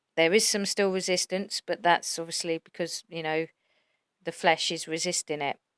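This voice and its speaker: Soft-spoken and fairly low in pitch, the woman's voice has a dry, close sound with no echo. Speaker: religious YouTuber. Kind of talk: religious monologue.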